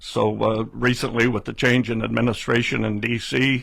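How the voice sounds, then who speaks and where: Speaking at a moderate pace, a man shows vocal fry, medium pitch and fairly even intonation. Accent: Pacific Northwest. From Oregon, US Pacific Northwest. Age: 70s. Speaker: political candidate and forester. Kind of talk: radio interview. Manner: halting, many fillers.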